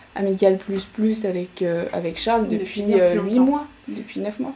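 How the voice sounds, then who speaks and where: With noticeable background noise behind her, a woman talks at a medium pitch. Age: 20s. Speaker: podcast guest. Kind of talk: personal story in interview. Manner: hesitant.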